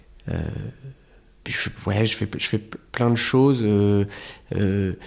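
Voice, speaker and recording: A man with a fairly low pitch talks at a very slow pace with fairly even intonation. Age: 30s. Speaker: comedian. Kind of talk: casual chat. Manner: halting.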